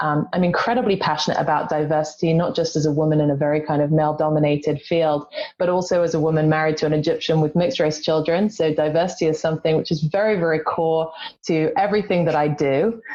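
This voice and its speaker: Speaking very fast in an English accent, a woman with a very deep, low pitch keeps her intonation fairly even and her loudness very even over noticeable background noise. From England. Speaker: executive search consultant. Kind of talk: panel discussion.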